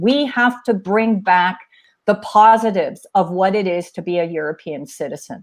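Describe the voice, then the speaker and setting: A woman with an American accent in a normal speaking voice, at a moderate pace and with lively intonation, against a quiet background. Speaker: climate policy expert. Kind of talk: webinar panel discussion.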